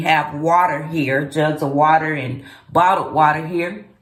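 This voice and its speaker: A woman speaks at a very slow pace with a very deep, low pitch in audible room echo. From US South, Memphis, Tennessee. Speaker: vlogger. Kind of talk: casual vlog monologue. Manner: conversational, with frequent fillers.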